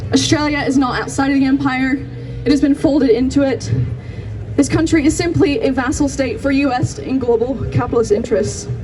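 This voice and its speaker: With an American accent, a woman speaks at a high pitch and moderate pace with fairly even intonation. Audible room echo and noticeable background noise surround her. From US Pacific Northwest. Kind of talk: rally speech. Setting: outdoor rally.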